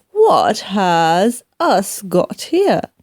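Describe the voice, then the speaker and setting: A woman puts on a character voice pitched fairly high. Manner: gruff, rough grammar.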